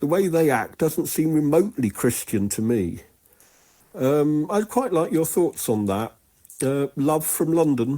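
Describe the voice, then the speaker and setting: Speaking at a fairly slow pace, a man with a fairly high pitch uses lively intonation and a dark, mellow tone. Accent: British. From England. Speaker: caller. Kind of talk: voicemail message.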